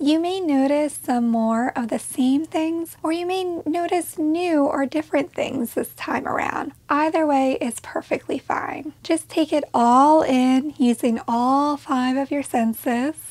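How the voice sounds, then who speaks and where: A woman with a high pitch and a calm, soothing tone, at a fairly slow pace with hardly any pauses and ordinary pitch variation, over noticeable background noise. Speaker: mental health educator. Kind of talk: guided meditation. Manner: soothing, slow and gentle; calm, soft-spoken, with pauses.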